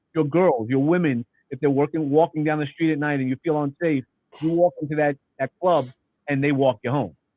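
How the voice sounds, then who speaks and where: The speaker has a New York accent and moves at a fairly quick pace. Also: man. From New York City. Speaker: nonprofit founder. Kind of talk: casual chat.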